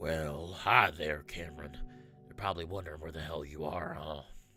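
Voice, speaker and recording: A man puts on a gravelly character voice at a moderate pace. Clear music plays in the background. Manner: menacing, mocking.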